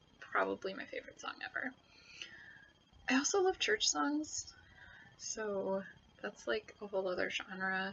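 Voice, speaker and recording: This is a woman's voice. She has an American accent. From United States. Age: 20s. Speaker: YouTuber. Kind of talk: casual chat. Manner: hesitant, many fillers.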